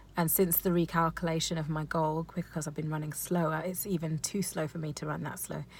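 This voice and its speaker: At a very fast pace, a woman talks in a somewhat breathy, fairly low voice with monotone, flat intonation. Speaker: amateur runner vlogger. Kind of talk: casual vlog recap. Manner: stuttering, many ums and ahs.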